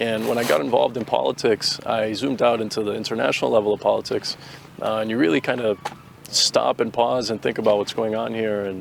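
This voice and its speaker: A man talks very fast in a Boston accent, at a medium pitch with ordinary pitch variation. Noticeable background noise sits behind him. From Boston, Massachusetts. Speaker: soldier, drone operator. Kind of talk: interview. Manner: casual, hesitant with fillers.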